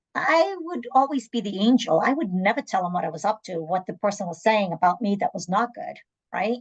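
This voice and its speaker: Her pitch swings very widely as the woman talks at a fairly quick pace. Her voice is somewhat breathy. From southern Africa (born Angola, raised South Africa), moved to Massachusetts at 12. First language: Portuguese. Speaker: nurse and medical interpreter. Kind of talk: panel interview.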